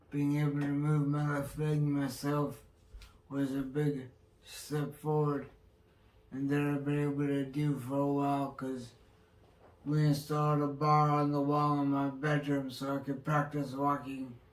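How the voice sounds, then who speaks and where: In a room with audible echo, a man with a fairly high pitch talks at a fairly slow pace in a monotone, flat intonation. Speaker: stroke survivor vlogger. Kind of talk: personal vlog.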